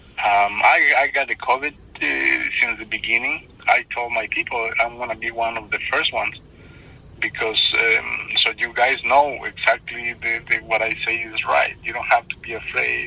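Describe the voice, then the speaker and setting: A man speaks with a non-native accent at a moderate pace. Noticeable background noise can be heard. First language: not English. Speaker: stranger who helped. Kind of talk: phone call. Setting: phone call. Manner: halting. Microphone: phone line, hard to hear.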